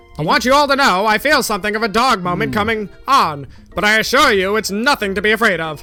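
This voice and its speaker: A put-on character voice races at a very fast pace with a fairly high pitch. Faint music plays in the background. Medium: actual play. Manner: stiffly professional until he snaps.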